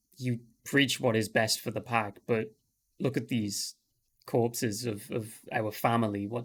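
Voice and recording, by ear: The speaker is reading aloud in a natural voice with fairly even intonation against a quiet background.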